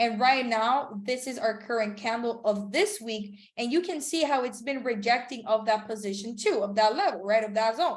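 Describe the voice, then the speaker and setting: Speaking at a moderate pace with hardly any pauses, a woman has a fairly high pitch, an animated tone and ordinary pitch variation. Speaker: trading instructor. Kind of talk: live webinar tutorial. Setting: online video call.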